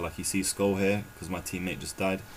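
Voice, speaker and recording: The man's voice sits at a very deep, low pitch. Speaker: gaming youtuber. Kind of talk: tutorial. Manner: casual with many fillers.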